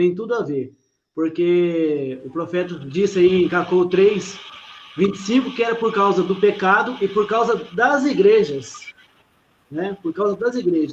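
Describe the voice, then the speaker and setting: Lively in intonation, a high-pitched man talks at a fairly slow pace. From Brazil. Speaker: pastor. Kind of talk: religious discussion.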